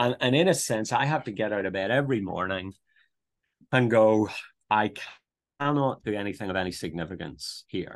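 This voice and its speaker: A Northern Irish accent at a moderate pace, with long, frequent pauses, ordinary pitch variation and a quiet background. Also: man, fairly low pitch for a man. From Northern Ireland, near Belfast. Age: 50s. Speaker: theological college principal and pastor. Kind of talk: interview conversation. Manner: hesitant, many fillers and repetitions.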